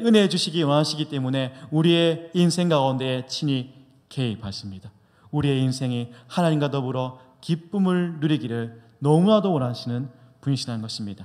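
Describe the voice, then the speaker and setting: A man with a fairly high pitch speaks in a solemn tone at a moderate pace. His intonation is lively. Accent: slight Busan. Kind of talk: sermon. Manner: solemn preaching.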